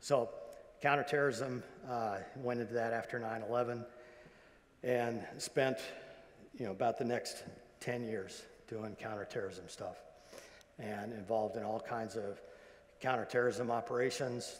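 Pausing long and often, a man with a medium pitch speaks at a fairly slow pace with fairly even intonation. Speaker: retired intelligence agency executive; guest. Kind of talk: convocation speech. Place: hall. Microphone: lapel.

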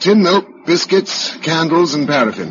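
Using a put-on character voice, a man speaks at a fairly slow pace and fairly high pitch with big pitch swings, a fairly bright tone and a slightly husky edge.

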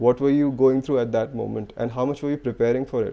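The man speaks with monotone, flat intonation. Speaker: podcast host. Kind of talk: interview question. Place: home room. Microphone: studio mic.

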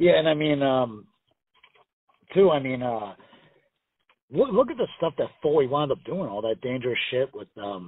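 At a moderate pace and medium pitch, a man speaks with a slightly husky edge, big pitch swings, and long, frequent pauses.

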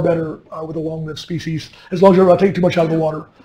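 A man's dark, mellow tone, with audible echo from the room. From US West Coast. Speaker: commercial fisherman and fishery policymaker. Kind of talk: lecture.

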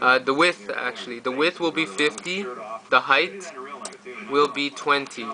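A man talks at a fairly slow pace in a Canadian accent, his pitch fairly high. Long, frequent pauses break up his speech, and background noise is noticeable. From Canada. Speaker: YouTuber; tutorial maker. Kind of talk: tutorial. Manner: halting. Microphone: phone near.

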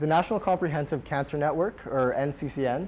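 The speaker is a man with ordinary pitch variation. He keeps a moderate pace. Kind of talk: lecture. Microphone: lapel.

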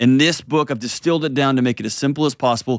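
Over a quiet background, a man speaks with fairly even intonation in a dry sound with no echo. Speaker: show host. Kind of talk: show intro and book promotion. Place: studio. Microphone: studio mic.

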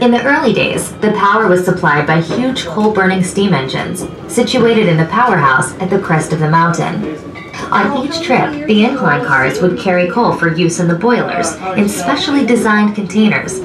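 A woman talks at a moderate pace. Behind her, clear music plays. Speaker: recorded tour narrator. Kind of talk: tour narration. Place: train.

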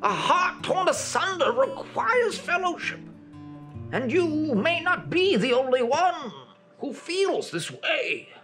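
Using a put-on character voice, a man speaks at a fairly slow pace while clear music plays in the background. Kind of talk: archaic fantasy speech. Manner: solemn, grandiose.

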